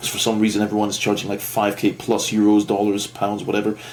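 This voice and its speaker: A man with a non-native accent talks at a fairly quick pace and fairly low pitch, with music in the background. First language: not English. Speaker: online marketing agency owner, vlogger. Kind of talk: casual rant vlog. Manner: rambling, hesitant with fillers.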